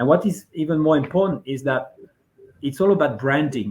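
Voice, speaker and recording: Here a man speaks at a moderate pace. His voice is somewhat breathy, with ordinary pitch variation. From France (Brittany). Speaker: venture investor and author. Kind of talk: interview. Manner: halting.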